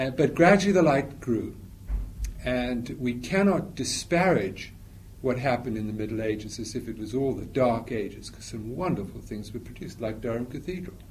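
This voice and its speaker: Somewhat breathy and medium in pitch, a man speaks with lively intonation and big swings in loudness. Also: moderate pace. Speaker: lecturer on evangelicalism. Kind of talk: lecture with Q&A. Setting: talk to a live audience. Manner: informal, hesitant, repeating words.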